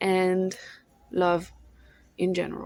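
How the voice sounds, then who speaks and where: A woman with a French accent speaks at a medium pitch. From France. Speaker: vlogger; thrift shop owner. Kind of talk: casual monologue vlog. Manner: halting, searching for words.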